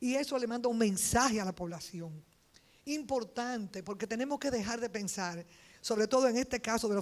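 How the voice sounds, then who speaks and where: On a very clean recording with a silent background, a woman with a normal speaking voice talks at a fairly quick pace, fairly high in pitch with ordinary pitch variation. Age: 60s. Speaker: politician, congresswoman. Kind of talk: panel speech.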